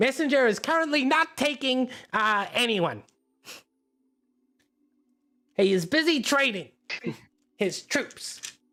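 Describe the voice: A high-pitched, put-on character voice moves at a fairly slow pace, broken by long, frequent pauses.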